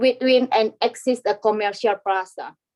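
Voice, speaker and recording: A woman with a non-native accent, fairly slow pace and ordinary pitch variation. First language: not English. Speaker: business applicant. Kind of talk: reading aloud. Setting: video call. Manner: halting.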